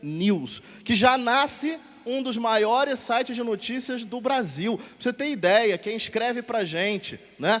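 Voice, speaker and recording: A man's high-pitched voice in a Rio de Janeiro accent, with noticeable background noise. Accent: carioca. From Rio de Janeiro, Brazil. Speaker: catechist and editor, radio host. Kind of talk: talk show interview on stage.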